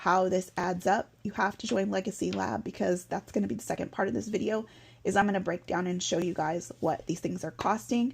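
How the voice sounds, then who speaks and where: On a very clean recording with a silent background, a woman with an American accent speaks at a fairly quick pace and medium pitch, with lively intonation and vocal fry. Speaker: vlogger. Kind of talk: casual explainer vlog. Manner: fast.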